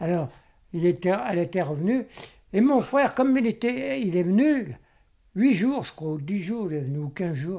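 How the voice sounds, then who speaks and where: A man speaks at a moderate pace with a high pitch, a dark, mellow tone and very wide pitch swings. He leaves long, frequent pauses, and the recording is very clean with a silent background. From Vienne, Isère, France. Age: 80s+. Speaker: Second World War witness. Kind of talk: interview answer. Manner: hesitant, halting.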